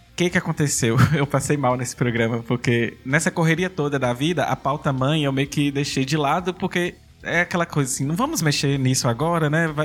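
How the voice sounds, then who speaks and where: A man speaks with a Brazilian accent at a fairly high pitch and hardly any pauses. His pitch variation is ordinary. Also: fairly quick pace. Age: 30s. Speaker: professor, podcaster and drag artist. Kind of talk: casual interview.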